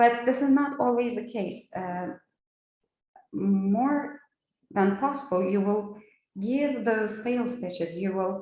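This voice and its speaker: Audible room echo surrounds a woman with a Turkish accent. She talks at a fairly slow pace and a fairly high pitch, with ordinary pitch variation. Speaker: trainer. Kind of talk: training lecture. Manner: hesitant, many fillers.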